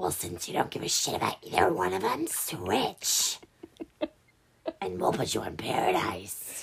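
A whispered, put-on character voice at a moderate pace. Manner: dismissive, bossy.

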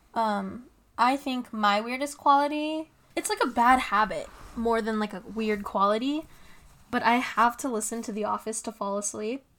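Moderately paced and fairly high in pitch, a woman talks in a plain, everyday voice with ordinary rises and falls. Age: 20s. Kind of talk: casual chat. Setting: home recording with laptop microphone.

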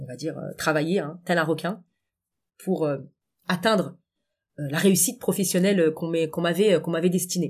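Somewhat breathy and fairly low in pitch, a woman speaks with ordinary pitch variation on a very clean recording with a silent background. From Paris suburbs, France (Essonne). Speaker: coach and public speaking trainer. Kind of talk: interview conversation.

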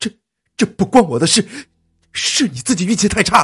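A man's put-on character voice, high and shaky, fairly quick, with very wide pitch swings. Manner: trembling, evasive.

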